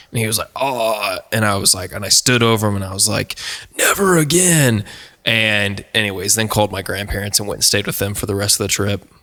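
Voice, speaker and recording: A man with an American accent talks at a fairly quick pace in a fairly low pitch. His pitch varies in an ordinary way, with noticeable background noise behind him. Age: 20s. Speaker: singer-songwriter, podcast guest. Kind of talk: casual chat, personal story. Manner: animated.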